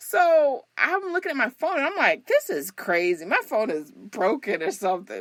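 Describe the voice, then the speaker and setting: With an American accent, a woman speaks in an animated tone at a moderate pace, with hardly any pauses. Her pitch is high and swings very widely. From US South. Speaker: flight attendant. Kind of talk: casual chat.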